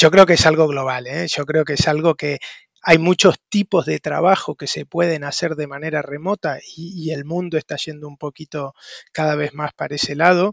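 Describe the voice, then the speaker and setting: Recorded dry and close with no echo, a man with an Argentine accent speaks at a moderate pace and fairly high pitch, his intonation fairly even while his loudness swings widely. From Argentina. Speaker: tech recruitment entrepreneur, consultant. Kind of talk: casual interview. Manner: halting, repeats words.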